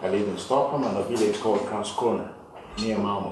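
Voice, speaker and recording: A man with a Nigerian accent and a fairly low voice speaks with fairly even intonation amid noticeable background noise and audible room echo. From Nigeria (Yoruba). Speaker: business executive. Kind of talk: after-dinner speech. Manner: halting, frequent repetitions.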